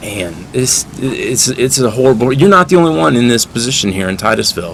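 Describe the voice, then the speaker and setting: Noticeable background noise and a man's fairly quick speech. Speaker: interviewer, channel host. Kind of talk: street interview questions. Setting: outdoors.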